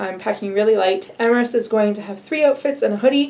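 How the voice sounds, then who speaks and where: A woman talks at a fairly quick pace with a fairly high pitch and ordinary pitch variation. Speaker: vlogger. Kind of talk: casual vlog update. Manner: fast.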